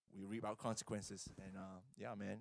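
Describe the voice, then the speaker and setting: The speaker has a non-native accent. The tone is animated. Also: man. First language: not English. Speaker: youth pastor. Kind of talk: casual chat.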